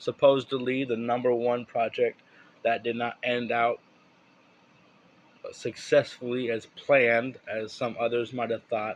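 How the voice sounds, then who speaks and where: The speaker is a man with a medium pitch. He talks fairly slowly. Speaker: gaming YouTuber. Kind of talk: casual gaming update vlog. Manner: rambling with hesitations.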